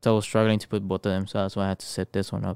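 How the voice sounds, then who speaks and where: A man with a Spanish accent talks very fast in a flat, monotone way. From Mexico. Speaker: podcast co-host and streamer. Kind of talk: casual chat. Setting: online stream. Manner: casual, profane.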